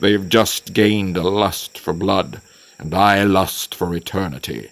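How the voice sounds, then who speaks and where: In a put-on character voice, a man speaks at a fairly slow pace with a booming, rumbling, very deep low pitch. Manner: grumbling.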